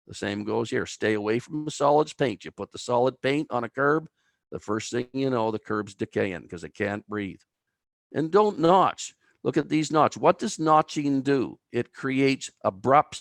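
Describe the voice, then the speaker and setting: A man with an Atlantic Canadian accent speaks at a medium pitch with lively intonation, recorded with a dry, close sound, no echo and a quiet background. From Atlantic Canada, New Brunswick (Albert County). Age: 60s. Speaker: timber bridge engineer. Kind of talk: webinar presentation.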